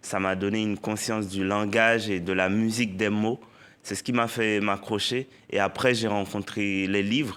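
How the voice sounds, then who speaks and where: Speaking in a Haitian accent at a very slow pace, the voice keeps fairly even intonation. The recording is very clean, with a silent background. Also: man. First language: Haitian Creole (speaking French). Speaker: poet and novelist. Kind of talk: TV interview.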